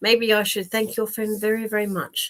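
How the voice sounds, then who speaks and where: A woman is talking. Her speech is in an Australian accent. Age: 60s. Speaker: psychic medium. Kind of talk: live stream chat with viewers. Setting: live online stream. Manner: casual, full of fillers and repeats.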